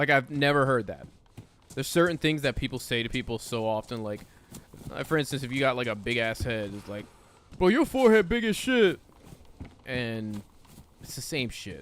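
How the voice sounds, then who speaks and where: A man at a medium pitch talks at a moderate pace with lively intonation, big swings in loudness, and long, frequent pauses. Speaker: gaming streamer. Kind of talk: casual chat.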